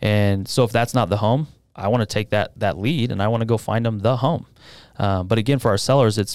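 A man talks at a fairly quick pace in a plain, everyday voice, fairly low in pitch with ordinary pitch variation. The recording is very clean, with a silent background. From Utah, West Valley. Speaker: real estate sales director. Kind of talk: casual interview.

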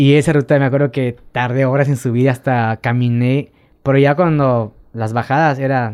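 At a moderate pace, a man speaks at a medium pitch with fairly even intonation in an ordinary speaking voice. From Quintana Roo, Mexico (Tulum). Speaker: amateur cyclist. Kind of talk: casual chat. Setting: studio.

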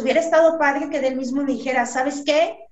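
A woman with a high-pitched voice speaks amid audible room echo. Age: 40s. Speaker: model and fitness competitor. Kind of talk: casual chat.

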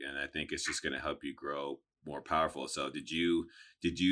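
A man talks at a fairly quick pace with vocal fry and a bright, sharp tone. The recording is very clean with a silent background. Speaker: podcast host. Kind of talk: casual interview.

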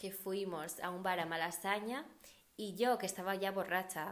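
Speaking at a fairly slow pace with medium pitch, a woman is heard with audible room echo. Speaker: podcast host. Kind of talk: casual chat. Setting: at home.

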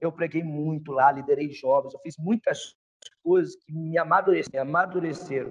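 Speaking in a plain, everyday voice, a man sounds fairly high in pitch, with fairly even intonation at a moderate pace. His loudness swings widely. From Espírito Santo, Brazil (born in Rio). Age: 30s. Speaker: pastor. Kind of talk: casual interview. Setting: remote call over internet.

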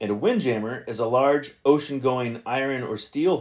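At a moderate pace, a man uses a normal speaking voice at a medium pitch. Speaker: podcast host. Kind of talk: podcast commentary on old radio episodes. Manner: casual, conversational, thinking aloud.

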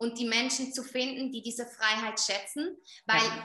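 A woman speaks at a moderate pace in a Swiss German accent. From Switzerland. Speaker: skin coach and entrepreneur. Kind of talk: casual interview.

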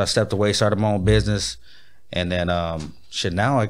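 A man with an American accent talks at a very fast pace with ordinary pitch variation. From Pomona, Southern California. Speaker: rapper and music producer. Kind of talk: casual interview chat.

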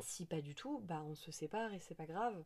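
A woman's dark, mellow voice, very deep and low in pitch, with lively intonation. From Paris. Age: 30s. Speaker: cultural mediation worker. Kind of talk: casual interview. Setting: indoors at home.

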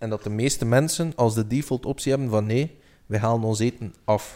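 At a fairly quick pace, a man talks at a medium pitch with ordinary pitch variation in an ordinary speaking voice. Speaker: podcast co-host. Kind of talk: casual chat.

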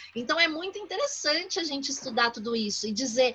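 Using a raised, projected voice, a woman speaks at a moderate pace with high pitch. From São Paulo, Brazil (east periphery, São Mateus). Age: 40s. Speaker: professor. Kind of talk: interview.

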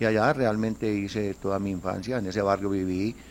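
A man's fairly low-pitched, unremarkable speaking voice, with fairly even intonation at a moderate pace. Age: 60s. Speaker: football club president. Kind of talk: interview.

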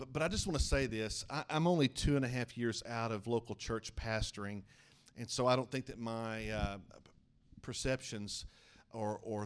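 The voice has a warm tone and an American accent. It moves at a moderate pace. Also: man. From eastern Oklahoma, small town. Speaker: denominational superintendent and preacher. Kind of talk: evangelical Pentecostal sermon, preacher in full flow. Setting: church with congregation. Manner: fervent rising-and-falling pulpit cadence, calling for amens; brisk, warm, conversational asides to the congregation.

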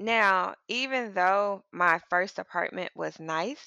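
A woman with an American accent is heard against a quiet background, the sound dry and close with no echo. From US South, Mississippi. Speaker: podcast co-host. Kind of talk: casual chat.

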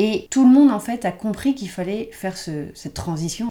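With a dark, mellow tone, a woman talks at a fairly quick pace. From Paris. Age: 30s. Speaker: sustainability activist. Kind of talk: casual interview. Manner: hesitant, many fillers.

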